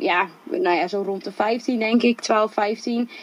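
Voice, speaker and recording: Pitched fairly high, a woman speaks with ordinary pitch variation. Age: 20s. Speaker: social entrepreneur. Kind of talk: interview. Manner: animated.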